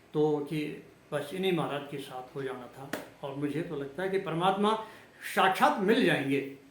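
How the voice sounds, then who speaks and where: Pitch varies in an ordinary way. Noticeable background noise and audible room echo surround the voice. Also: man. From Uttarakhand, India. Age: 60s. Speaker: religious vlogger. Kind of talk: religious monologue. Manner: halting.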